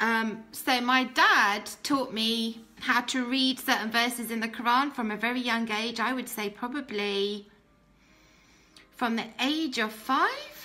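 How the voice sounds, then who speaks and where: High-pitched British woman's voice at a fairly slow pace, fairly even intonation, noticeable background noise behind it. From Britain, Pakistani family. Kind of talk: testimony. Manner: hesitant, many fillers.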